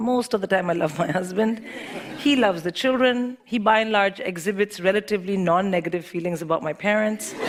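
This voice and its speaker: With an American accent, a woman talks at a fairly quick pace with lively intonation over noticeable background noise. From India. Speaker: comedian. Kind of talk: stand-up.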